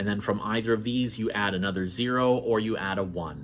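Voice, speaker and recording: This is a man with a plain, everyday voice. His medium pitch shows ordinary variation. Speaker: networking educator. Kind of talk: tutorial.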